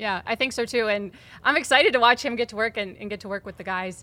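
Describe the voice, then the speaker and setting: A woman speaks at a fairly quick pace in a bright, sharp, upbeat and enthusiastic tone, with a fairly high pitch and ordinary pitch variation. The recording is very clean, with a silent background. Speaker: team podcast host. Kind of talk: casual interview. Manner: upbeat, enthusiastic.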